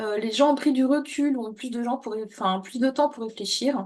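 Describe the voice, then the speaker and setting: The speaker is a woman with a high voice. Her intonation is fairly even throughout. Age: 40s. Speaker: coach, former corporate consultant. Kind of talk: interview. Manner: hesitant, many fillers.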